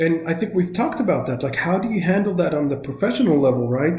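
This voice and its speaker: A man with an Israeli accent speaks at a very fast pace. His voice is fairly high, with a dark, mellow tone and ordinary pitch variation. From northern Israel. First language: Hebrew. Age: 40s. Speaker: software localization expert. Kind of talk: interview. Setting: remote call.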